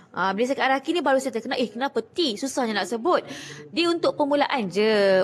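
Lively intonation marks the way a woman is talking. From Malaysia. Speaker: Quran reading teacher; Quran reading teacher, seller. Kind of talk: live-stream tutorial. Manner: fast. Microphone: phone near.

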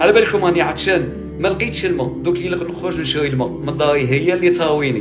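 Clear music plays in the background. Over it, a man speaks at a very fast pace. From Algeria. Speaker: emigrant son returning home. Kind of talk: emotional personal video talk. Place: home room. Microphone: phone near.

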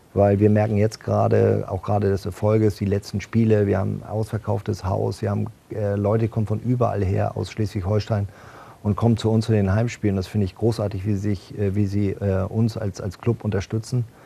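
A man speaks fairly quickly, with a dark, mellow, somewhat breathy tone. His fairly low voice stays monotone and flat. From northern Germany, Bad Schwartau near Lübeck; northern Germany. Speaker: football club executive and former handball player; talk show guest. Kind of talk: TV talk show interview. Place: studio. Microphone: lapel.

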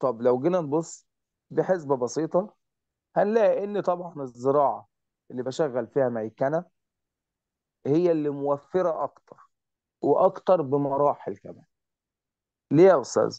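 Long, frequent pauses break up a man's speech at a fairly slow pace. His pitch is fairly high, with ordinary variation. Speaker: teacher. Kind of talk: online lesson.

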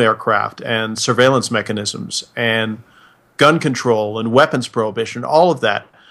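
A man with an American accent and an ordinary speaking voice, at a fairly slow pace with fairly even intonation. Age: 50s. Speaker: retired army officer. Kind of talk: casual chat.

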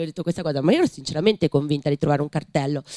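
A woman is speaking. The background is quiet and the sound is dry with no echo. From Tuscany. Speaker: writer and teacher; teacher. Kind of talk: panel discussion. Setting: library event with audience. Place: hall. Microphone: podium.

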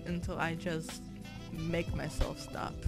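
A woman speaks fairly slowly in a fairly low, monotone voice with flat intonation. Music plays in the background. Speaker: digital artist. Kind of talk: tutorial voiceover. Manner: stutter; casual, self-deprecating.

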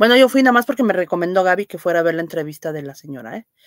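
In a quiet, dry space with no echo, a woman with a fairly low voice makes very wide pitch swings. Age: old. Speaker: livestream host. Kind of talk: casual live stream chat. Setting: live stream reading chat comments. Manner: hesitant, many fillers. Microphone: webcam.

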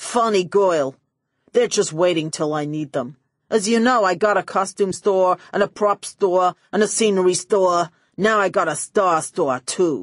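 A woman speaks at a moderate pace in a put-on character voice, her pitch medium, against a quiet background. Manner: smug, brash, callous.

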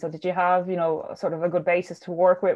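A fairly quick pace in an Irish accent. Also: woman. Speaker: podcast host. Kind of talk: casual chat.

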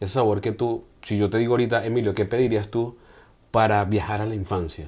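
A man with an unremarkable speaking voice talks at a fairly quick pace, his pitch fairly low and his intonation fairly even. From Venezuela. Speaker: podcast host. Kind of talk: interview. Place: studio. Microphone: lapel.

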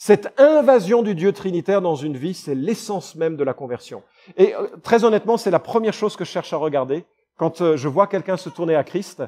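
A man's high-pitched voice, dark, mellow and warm in tone, with lively intonation and a dry, close sound free of echo. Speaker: pastor. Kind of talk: sermon. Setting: church. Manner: fervent, earnest preaching with emphatic repetition; conversational, warm, occasionally hesitant.

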